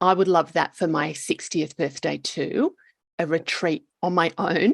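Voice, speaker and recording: With an Australian accent, a woman speaks at a fairly slow pace and a fairly low pitch. The sound is dry and close, with no echo. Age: 50s. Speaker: podcast host. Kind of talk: casual chat.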